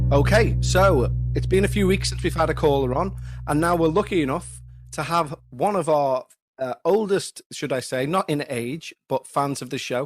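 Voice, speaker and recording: A man in a Liverpool accent at a moderate pace. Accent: scouse. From Liverpool area, England (Huyton). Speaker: podcast host. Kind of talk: casual chat; scripted narration.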